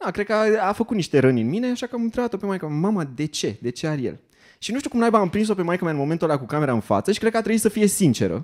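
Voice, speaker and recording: Against a quiet background, a man talks at a very fast pace with very wide pitch swings. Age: 30s. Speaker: stand-up comedian. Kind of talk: stand-up comedy monologue. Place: stage. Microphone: handheld.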